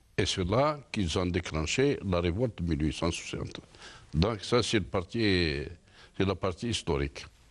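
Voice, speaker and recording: Speaking at a moderate pace, a man with a very deep, low pitch uses lively intonation and long, frequent pauses. The recording is very clean, with a silent background. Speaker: independence war veteran, author. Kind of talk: interview.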